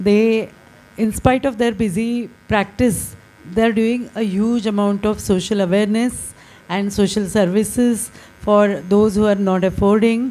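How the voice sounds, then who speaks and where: A woman speaks at a fairly slow pace with fairly even intonation. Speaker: speaker. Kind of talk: speaker introduction. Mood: warm, smiling. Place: hall. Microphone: handheld.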